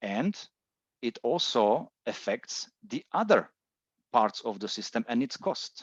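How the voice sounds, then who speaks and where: The speaker has a Czech accent and talks at a very slow pace with long, frequent pauses, the sound dry and close with no echo. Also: man. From Czech Republic. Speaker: solar industry presenter. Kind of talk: webinar presentation. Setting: online webinar. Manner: hesitant, many fillers.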